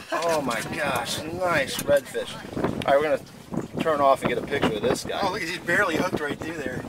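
A man at a moderate pace with ordinary pitch variation, the sound dry with no echo amid loud background noise. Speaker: fishing guide coaching clients. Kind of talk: excited live commentary. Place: boat.

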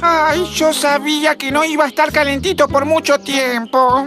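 Someone does a whiny, cartoonish character voice at a moderate pace. Background noise is clearly audible. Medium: puppet show. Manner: whiny, fretful, pessimistic.

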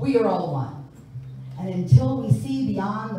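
Amid noticeable background noise and strong room echo, a woman with an American accent speaks at a fairly slow pace with very wide pitch swings. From New York. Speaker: singer and spoken word performer. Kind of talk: spoken word poetry performance. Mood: reflective, earnest. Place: church.

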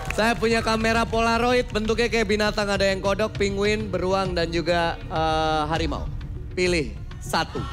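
A man speaks in a high voice at a moderate pace with ordinary pitch variation, and clear music plays in the background. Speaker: game show host. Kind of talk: game show hosting. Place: studio.

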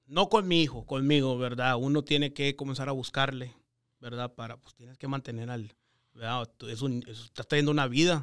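A man's medium-pitched voice, a normal speaking voice, at a moderate pace, with ordinary pitch variation, big swings in loudness and a quiet background. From US, Texas Rio Grande Valley. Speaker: real estate investor. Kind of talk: interview storytelling. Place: studio. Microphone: studio mic.

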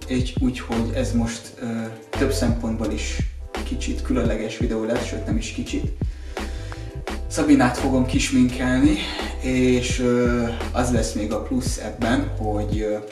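A man talks at a fairly slow pace with long, frequent pauses. Clear music plays in the background. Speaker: video host. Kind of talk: casual vlog chat. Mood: playful, joking. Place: home room.

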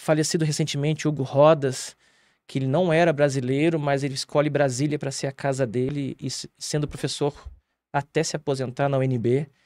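A man speaks at a moderate pace in a fairly high voice over a quiet background. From Rio Grande do Sul, Brazil. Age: 40s. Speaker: theatre director; guest. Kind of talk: interview. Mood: calm, reflective. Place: studio. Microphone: studio mic.

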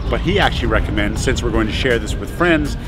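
A man talks over clear music in the background. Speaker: travel vlogger. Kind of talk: casual vlog chat. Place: street. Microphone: phone near.

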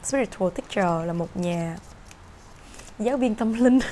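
Over light background noise, a woman with a medium pitch speaks at a moderate pace with lively intonation. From Vietnam. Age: 30s. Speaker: tarot reader. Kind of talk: tarot reading monologue. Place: home room. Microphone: camera far.

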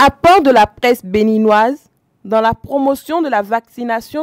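Her intonation lively, a woman speaks at a very slow pace in a dry, close sound with no echo. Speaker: TV reporter. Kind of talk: scripted narration.

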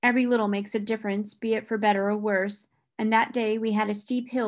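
It is plain reading aloud with fairly even intonation. The background is quiet.

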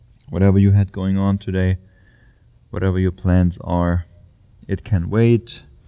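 A man is heard speaking over a quiet background. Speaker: yoga teacher. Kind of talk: guided yoga instruction. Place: gym. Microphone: lapel.

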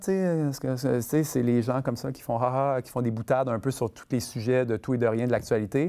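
Over a quiet background, a man speaks at a moderate pace with a dark, mellow tone. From Quebec City; Quebec. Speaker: film director; guest. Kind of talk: masterclass interview with audience. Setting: stage with student audience. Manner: halting, many fillers and repetitions. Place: stage. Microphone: lapel.

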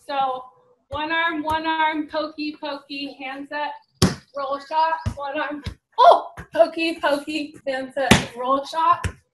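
A woman with an American accent and a high pitch, at a very slow pace with big swings in loudness, over loud background noise. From Santa Barbara, California. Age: 20s. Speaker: pro beach volleyball player. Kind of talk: tutorial. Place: garden. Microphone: video call.

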